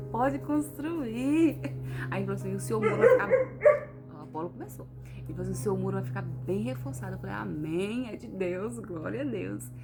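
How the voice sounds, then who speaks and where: Soft-spoken and at a fairly quick pace, a woman talks with big swings in loudness, music in the background and audible room echo. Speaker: vlogger. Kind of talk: casual vlog testimony.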